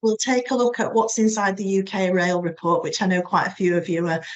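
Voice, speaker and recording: With a Yorkshire accent, a woman speaks at a fairly quick pace and medium pitch. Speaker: webinar presenter for a rail business membership organisation. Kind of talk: business webinar presentation. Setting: online webinar. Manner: hesitant, many fillers (um).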